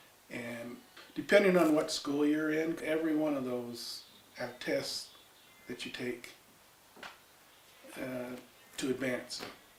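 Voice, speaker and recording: A man's fairly high voice at a very slow pace, ordinary pitch variation, long and frequent pauses, audible room echo and noticeable background noise. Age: 60s. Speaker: retired military firefighter. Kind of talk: interview storytelling. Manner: casual, with fillers.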